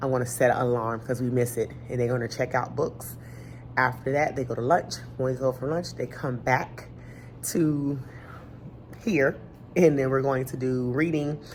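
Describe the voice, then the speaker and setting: Music sits in the background as a woman speaks with a very deep, low pitch and fairly even intonation. Her pace is moderate, broken by long, frequent pauses. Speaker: elementary school teacher. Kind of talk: casual vlog talk to camera.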